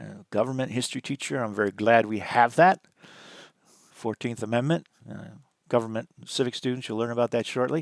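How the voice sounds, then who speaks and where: Recorded very cleanly against a silent background with a dry, close sound and no echo, a man with a medium-pitched voice talks at a fairly quick pace, his pitch varying in an ordinary way, his loudness swinging widely and his speech broken by long, frequent pauses. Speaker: college teacher. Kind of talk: lecture. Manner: fast; halting.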